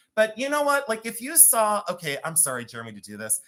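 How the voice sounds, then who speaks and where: The speaker has a Cleveland accent. The delivery comes very fast. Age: 50s.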